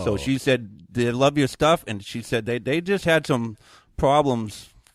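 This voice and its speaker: A man talks with a Maine accent. The recording is very clean, with a silent background. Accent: Maine rural New England. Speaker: viral weathercaster and deer hunter. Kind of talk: interview answer. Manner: casual, blunt.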